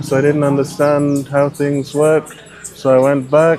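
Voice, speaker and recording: A man with a fairly high voice and a British accent speaks at a fairly slow pace over music in the background. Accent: non-Kenyan accent, sounds British. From Scotland. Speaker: ride-hailing driver. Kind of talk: casual interview. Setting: outdoors by a car in the rain.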